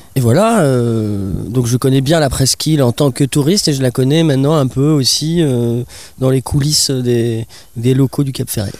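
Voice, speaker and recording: A man with a plain, everyday voice talks at a moderate pace and medium pitch, with ordinary pitch variation and very even loudness. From Bordeaux area, southwest France. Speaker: musician and carpenter. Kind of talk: interview.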